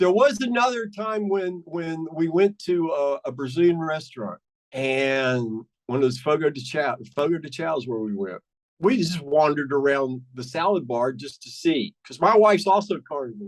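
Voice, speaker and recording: At a moderate pace, the voice swings very widely in pitch and shifts a lot in loudness. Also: man, fairly high pitch for a man. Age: 60s. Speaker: interview guest sharing health recovery story. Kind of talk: casual interview conversation. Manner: halting, frequent repetitions.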